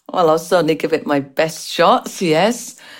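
At a moderate pace, a woman with an American accent speaks at a fairly low pitch in a very clean recording with a silent background. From England, Irish parents. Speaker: pediatric nurse. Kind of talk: interview.

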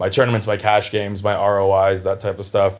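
A man talks very fast in an American accent, fairly low and monotone with flat intonation. The recording is very clean, with a silent background. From California. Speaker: music producer. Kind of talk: casual chat.

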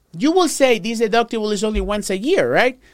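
At a fairly quick pace, the speaker has an animated tone and a Spanish accent. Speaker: Medicare insurance agent podcast host. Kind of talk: informational podcast monologue. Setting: live recording, on camera.

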